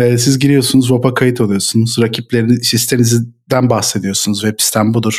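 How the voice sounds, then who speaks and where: A man's fairly quick, monotone, flat delivery. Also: medium pitch for a man, very even loudness. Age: 30s. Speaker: tech company founder. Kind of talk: casual chat.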